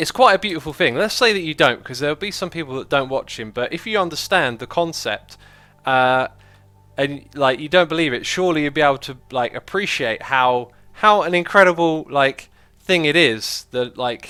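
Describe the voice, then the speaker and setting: A man's bright, sharp, fairly high voice with a British accent, lively intonation and a moderate pace, on a very clean recording with a silent background. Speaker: gaming livestreamer. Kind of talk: casual livestream chat with viewers. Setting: livestream. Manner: casual, conversational with fillers.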